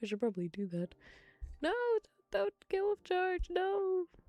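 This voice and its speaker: A soft-spoken woman with a dark, mellow tone, very wide pitch swings and big swings in loudness, in a dry, close sound with no echo. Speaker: ASMR streamer. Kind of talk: ASMR rambling stream. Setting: live stream.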